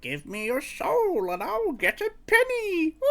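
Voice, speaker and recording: A put-on character voice, high in pitch, moves at a fairly slow pace. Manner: menacing, creepy.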